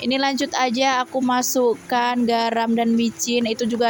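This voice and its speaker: A woman with a fairly high pitch talks at a moderate pace in a flat, monotone way over noticeable background noise. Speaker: housewife vlogger. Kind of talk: vlog voice-over narration. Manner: casual, chatty.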